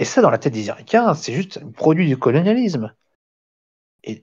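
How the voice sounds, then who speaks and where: A man speaks with a Belgian accent at a fairly high pitch. His voice makes very wide pitch swings. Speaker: amateur history lecturer. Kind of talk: lecture. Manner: halting, many fillers and restarts.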